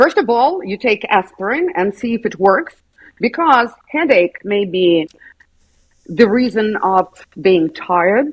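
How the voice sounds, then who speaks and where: In a Russian accent, a woman with a fairly high pitch talks at a fairly slow pace, her voice making very wide pitch swings. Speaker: school psychologist. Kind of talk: interview.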